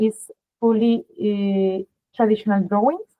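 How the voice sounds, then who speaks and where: A woman's fairly high voice with a strong Spanish accent, ordinary pitch variation and a moderate pace. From Spain. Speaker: art school advisor. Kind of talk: webinar presentation.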